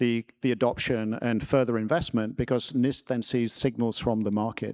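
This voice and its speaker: A man with an English accent talks at a fairly quick pace, his voice dry and close with no echo, on a very clean recording with a silent background. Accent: proper English. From New Jersey, US. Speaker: tech company product executive, panelist. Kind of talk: panel discussion. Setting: stage with audience. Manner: authoritative; halting, many fillers.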